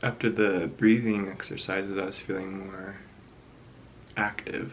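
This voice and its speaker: A quiet man's fairly low voice, fairly even in intonation and fairly slow in pace, with audible room echo and noticeable background noise. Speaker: art vlogger. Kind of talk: casual vlog narration. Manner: soft-spoken; hushed.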